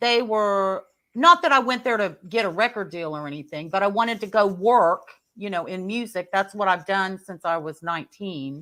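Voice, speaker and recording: At a moderate pace, a woman speaks in a bright, sharp tone, her loudness swinging widely. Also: medium pitch for a woman, ordinary pitch variation, very clean recording, silent background. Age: 60s. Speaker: poet and former singer. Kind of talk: casual chat.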